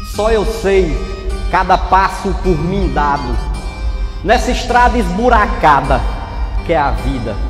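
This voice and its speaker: Clear music plays in the background behind a man. His voice carries audible room echo. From Ceará, Brazil. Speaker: poet and motivational speaker. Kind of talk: poetry reading. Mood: emotional, expressive delivery. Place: hall. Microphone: handheld.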